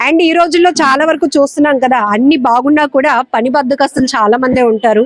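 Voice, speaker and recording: A woman speaks at a high pitch, dry and close with no echo. Noticeable background noise runs underneath. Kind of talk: interview host talk. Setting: outdoors. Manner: upbeat.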